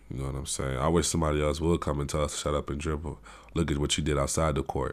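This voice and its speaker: In a very deep, low pitch, a man speaks with vocal fry. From Africa. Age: 20s. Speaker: podcast host, university student. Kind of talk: solo monologue podcast. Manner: casual, halting with repetitions.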